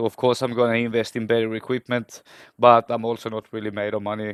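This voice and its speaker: A man with a non-native accent speaks at a medium pitch. The sound is dry and close with no echo. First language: not English. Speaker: hobbyist electronics repairer. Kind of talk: voice-over narration of repair video. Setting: home workbench. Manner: halting, with self-corrections; casual.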